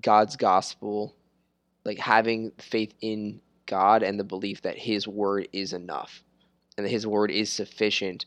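The sound is dry and close, with no echo, over a quiet background. Delivery is very slow. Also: man. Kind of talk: casual chat about scripture. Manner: halting, repeats words.

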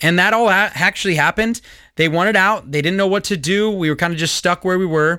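A man's raised, projected voice with a Californian accent, high pitch, ordinary pitch variation, a bright, sharp tone and a very fast pace, in a very clean recording with a silent background. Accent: General American (Californian). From Southern California, US. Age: 30s. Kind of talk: solo commentary podcast.

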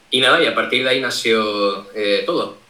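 A man talks with normal rises and falls in pitch while a noticeable hum of background noise carries on behind him. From Canary Islands, Tenerife. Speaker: cybersecurity streamer. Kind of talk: interview. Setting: live stream call, camera off.

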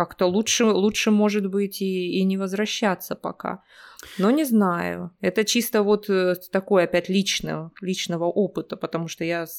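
Medium pitch from a woman, fairly even intonation, a moderate pace and a dry, close sound with no echo. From Russia, Omsk. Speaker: Russian language teacher. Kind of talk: casual interview. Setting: remote call.

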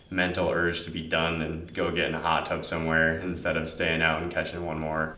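A man talks with an American accent. Audible echo fills the room around him. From Upper Peninsula of Michigan, Marquette. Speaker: college student, surfer. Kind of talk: interview.

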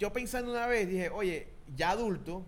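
A man with a Venezuelan accent at a moderate pace, with audible room echo. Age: 30s. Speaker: podcast co-host. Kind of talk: casual chat.

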